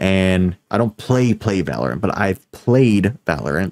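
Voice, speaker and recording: A man speaks at a very slow pace with fairly low pitch and ordinary pitch variation. The sound is dry with no echo, over a quiet background. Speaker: streamer. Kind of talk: casual stream commentary. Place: home room.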